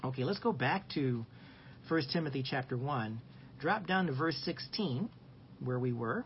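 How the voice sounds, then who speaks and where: A man talks at a medium pitch and a fairly slow pace, with long, frequent pauses. His voice is somewhat breathy, and its loudness stays very even. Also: lively intonation. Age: 60s. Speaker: Sunday school teacher. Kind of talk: Bible lesson. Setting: live stream.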